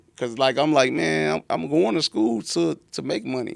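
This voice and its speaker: A man in a Southern US accent keeps a moderate pace. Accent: down south. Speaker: entrepreneur and author. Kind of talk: podcast interview, life story. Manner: halting, repetitive.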